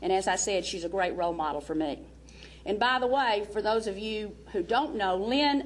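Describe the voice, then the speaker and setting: Her voice fairly high in pitch, a woman speaks at a moderate pace with lively intonation. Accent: Southern US. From US South. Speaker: basketball coach. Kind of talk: speech introducing a speaker. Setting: seminar with audience. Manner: animated.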